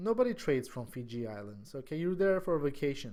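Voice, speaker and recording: A man's fairly high voice in an Armenian accent. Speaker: stock trading educator. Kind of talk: tutorial. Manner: halting; casual.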